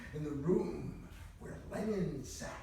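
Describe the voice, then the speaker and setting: Noticeable background noise sits behind the voice. The pitch varies in an ordinary way. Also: man. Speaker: poet. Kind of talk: poetry reading. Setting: live reading at a conference.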